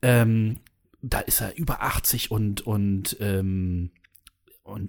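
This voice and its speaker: A man with a plain, everyday voice, fairly low in pitch, speaks with fairly even intonation in a very clean recording with a silent background. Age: 30s. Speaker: podcast host. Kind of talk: casual chat.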